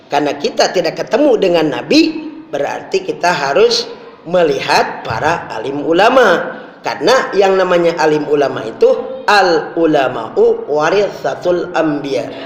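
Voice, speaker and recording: The man talks fairly slowly, with audible echo from the room and noticeable background noise around him. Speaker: Islamic preacher. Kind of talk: sermon. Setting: mosque. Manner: forceful at times.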